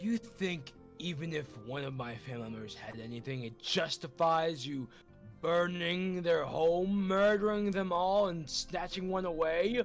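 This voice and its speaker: Putting on a character voice, a man speaks in a high pitch at a moderate pace, with clear music in the background. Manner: angry, outraged.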